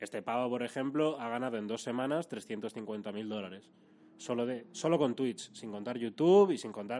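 A man's dark, mellow voice at a medium pitch, with a moderate pace and ordinary pitch variation. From Madrid, Spain. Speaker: youtuber. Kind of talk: casual chat. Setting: office.

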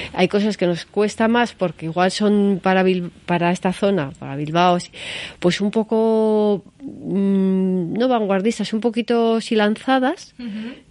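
Over a quiet background, a woman with a medium pitch talks at a fairly slow pace in a plain, everyday voice with ordinary pitch variation. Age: 60s. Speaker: gallery owner. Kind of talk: interview. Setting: in the guest's gallery.

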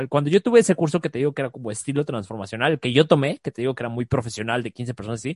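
A man with a Mexican accent, fairly high-pitched, with lively intonation and a very fast pace, in a dry, close sound with no echo. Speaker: life coach. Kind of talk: casual chat.

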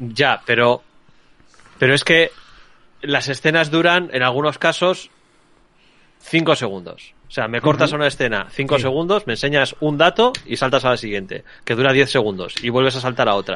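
A man's bright, sharp voice at a moderate pace, with ordinary pitch variation. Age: 40s. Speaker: film podcast panelist. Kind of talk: casual chat.

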